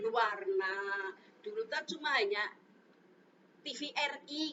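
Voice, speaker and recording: Speaking very slowly, a woman uses a lively intonation. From Central Java, Brebes (Bumiayu). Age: 60s. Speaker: elderly interviewee. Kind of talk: casual interview.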